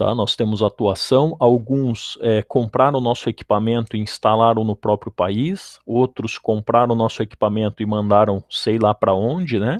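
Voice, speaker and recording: This man has an unremarkable speaking voice at a medium pitch, with ordinary pitch variation. He keeps a moderate pace and hardly pauses at all. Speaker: electrical engineer. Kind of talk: lecture.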